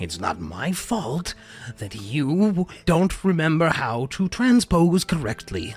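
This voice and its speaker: Over clear background music, a man puts on a character voice, fairly high-pitched and fairly slow. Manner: indignant, sarcastic.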